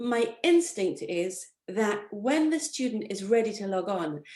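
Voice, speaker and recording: The delivery is animated, with very wide pitch swings. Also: woman. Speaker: tutor and tutor trainer. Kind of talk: conversational interview. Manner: animated, high energy.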